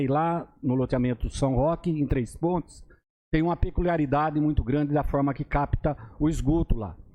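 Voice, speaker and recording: With a dark, mellow tone and a fairly high pitch, a man speaks at a moderate pace with fairly even intonation. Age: 60s. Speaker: city councillor. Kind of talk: council session speech. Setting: municipal council chamber. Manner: halting, with many fillers.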